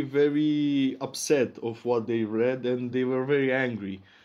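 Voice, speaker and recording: A man with a Romanian accent, medium pitch, fairly even intonation and a fairly slow pace. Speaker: investigative journalist. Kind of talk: interview.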